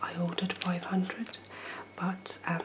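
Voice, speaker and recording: Noticeable background noise fills the clip as a woman speaks in a whisper. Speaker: ASMR creator cooking host. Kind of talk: ASMR product review talk to camera. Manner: soft-spoken.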